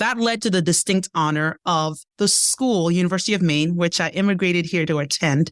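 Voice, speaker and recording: With a Nigerian accent, a woman talks at a fairly quick pace and fairly low pitch, with ordinary pitch variation, very even loudness and hardly any pauses. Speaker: leadership development expert and keynote speaker. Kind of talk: podcast interview answer.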